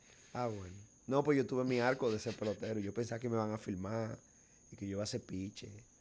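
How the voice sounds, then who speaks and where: A very fast delivery in a Cibao Dominican accent, with fairly even intonation. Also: man, medium pitch for a man. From Dominican Republic, Bonao (Cibao region). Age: young. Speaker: filmmaker and actor. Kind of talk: casual chat.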